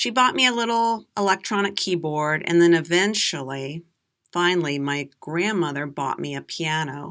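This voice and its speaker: Lively intonation carries this American-accented voice through a very clean recording with a silent background. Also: woman. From USA. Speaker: English teacher. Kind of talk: slow storytelling for learners. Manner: slow; clear, deliberate.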